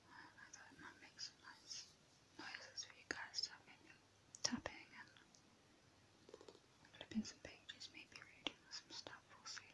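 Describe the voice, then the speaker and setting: Whispering with long, frequent pauses, a woman swings widely in loudness. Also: fairly slow pace. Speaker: ASMR creator. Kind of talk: ASMR soft spoken commentary to camera. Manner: soft-spoken, gentle. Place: home room.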